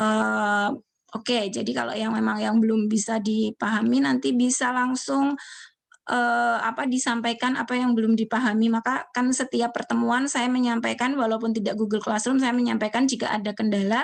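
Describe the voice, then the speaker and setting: With a quiet background, a woman with a fairly high pitch talks at a moderate pace, with very even loudness and ordinary pitch variation. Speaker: university lecturer. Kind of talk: online lecture.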